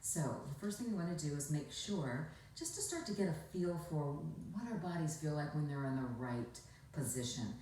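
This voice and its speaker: Over noticeable background noise, a woman with a very deep, low pitch and a relaxed tone speaks at a moderate pace with lively intonation. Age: 60s. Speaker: former shopping channel host and commercial actor. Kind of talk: instructional talk to camera. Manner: relaxed, conversational.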